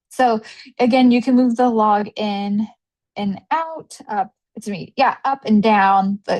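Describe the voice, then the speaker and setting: This woman has a medium pitch and ordinary pitch variation. Her voice is somewhat breathy against a quiet background. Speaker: math teacher. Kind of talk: tutorial. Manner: casual, chatty.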